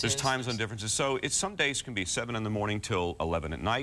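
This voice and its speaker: Bright and sharp in tone, a man talks at a very fast pace. His medium-pitched voice has lively intonation. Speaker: voice actor. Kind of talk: interview answer.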